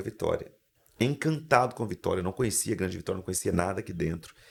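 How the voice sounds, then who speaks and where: A somewhat breathy man with lively intonation. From Brazil, Espírito Santo interior. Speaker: motivational speaker and mindset coach. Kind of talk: podcast interview. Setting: studio. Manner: animated.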